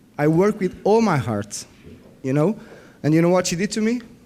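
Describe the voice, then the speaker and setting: A man's dark, mellow voice with a non-native accent, very wide pitch swings and a moderate pace. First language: not English. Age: 40s. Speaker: biofeedback practitioner. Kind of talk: conference workshop presentation. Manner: halting; animated.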